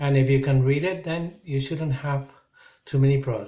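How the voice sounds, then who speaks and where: Pitched fairly high, the man talks in a plain, everyday voice, with normal rises and falls. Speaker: English teacher. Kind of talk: recorded online lesson.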